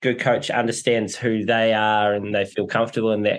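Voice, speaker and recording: Here a man talks with a New Zealand accent. His pace is moderate. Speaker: podcast host. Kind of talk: casual interview.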